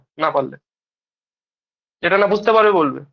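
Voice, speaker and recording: His intonation fairly even, a man speaks. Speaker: maths tutor. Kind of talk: informal talk to students.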